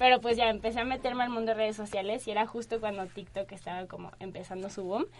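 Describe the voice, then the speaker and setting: A woman talks very fast with hardly any pauses, using a fairly high pitch, fairly even intonation and big swings in loudness. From Guadalajara, Mexico. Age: 20s. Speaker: brand manager. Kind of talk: casual interview.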